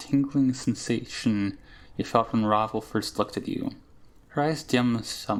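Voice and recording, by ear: Someone is reading aloud in a natural voice, with ordinary pitch variation.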